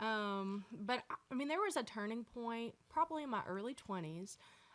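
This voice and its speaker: This speaker has a Southern accent and ordinary pitch variation. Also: woman. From US South, North Georgia. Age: 20s. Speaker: country singer-songwriter. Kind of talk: casual chat.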